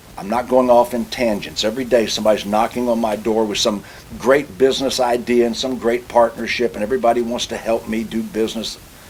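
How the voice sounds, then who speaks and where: A man speaks very fast at a medium pitch, with hardly any pauses and fairly even intonation. Noticeable background noise sits behind him. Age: 60s. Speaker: automobile industry consultant and speaker. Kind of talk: interview.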